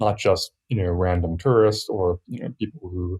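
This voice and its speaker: With an American accent, a man talks at a fairly quick pace in a somewhat breathy voice, the sound dry and close with no echo. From US, Virginia. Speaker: software developer. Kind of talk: casual chat.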